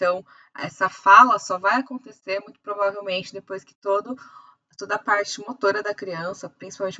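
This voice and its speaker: Speaking at a medium pitch with ordinary pitch variation, a woman's voice shows big swings in loudness. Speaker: optometrist teacher. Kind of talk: lecture. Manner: fast.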